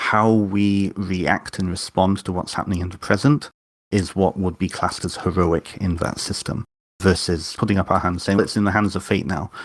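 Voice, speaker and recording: The recording is very clean, with a silent background. A man speaks at a very deep, low pitch and a moderate pace, with fairly even intonation. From North Wales. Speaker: author and witch. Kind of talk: interview conversation.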